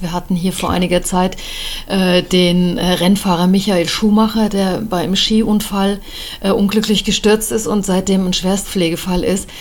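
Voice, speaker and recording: The speaker talks at a fairly slow pace in a monotone, flat intonation, with noticeable background noise behind the voice. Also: woman. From Germany. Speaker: politician and podcast host. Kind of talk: interview.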